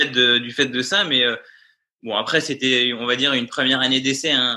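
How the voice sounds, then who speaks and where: The voice belongs to a man. Its pitch is medium. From France, Vendée. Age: 20s. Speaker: paratriathlete and physiotherapist. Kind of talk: interview. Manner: hesitant, many fillers.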